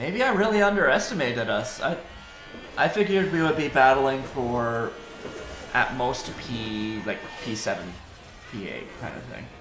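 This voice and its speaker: Music plays behind a quiet man of medium pitch whose voice swings very widely in pitch and greatly in loudness. He leaves long, frequent pauses, and room echo is audible. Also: moderate pace. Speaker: gaming youtuber. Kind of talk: gameplay commentary.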